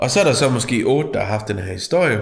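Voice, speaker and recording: Audible room echo surrounds a man speaking at a moderate pace. His intonation is lively. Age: 40s. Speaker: podcast co-host. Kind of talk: casual chat.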